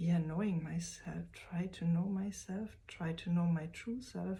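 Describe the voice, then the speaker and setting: A woman is speaking. She has a non-native accent. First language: German. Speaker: vlogger. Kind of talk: personal vlog. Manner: slow; halting.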